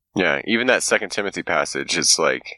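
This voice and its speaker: A man with vocal fry and a bright, sharp tone talks at a fairly quick pace in a dry, close recording with no echo. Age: 30s. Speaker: podcast host, social worker. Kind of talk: casual chat. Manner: animated.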